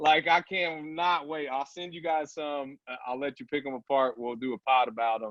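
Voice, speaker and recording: With a Southern accent, a man speaks at a moderate pace in an animated tone, his fairly high pitch showing ordinary variation. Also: hardly any pauses, big swings in loudness. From southern Indiana. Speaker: apparel company founder. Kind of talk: podcast interview.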